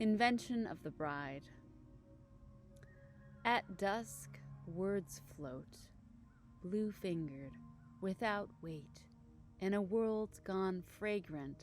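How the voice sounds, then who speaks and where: A woman talks very slowly. Behind her, music is playing. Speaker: poet. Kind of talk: poetry reading.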